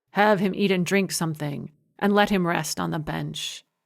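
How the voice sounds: A natural reading voice with ordinary pitch variation sounds against a quiet background.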